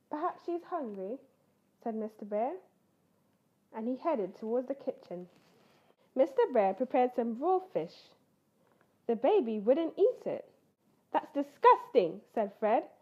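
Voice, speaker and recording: With a British accent, the speaker moves at a fairly slow pace, leaving long, frequent pauses and making very wide pitch swings. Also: woman, high pitch for a woman. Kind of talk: children's story read-aloud.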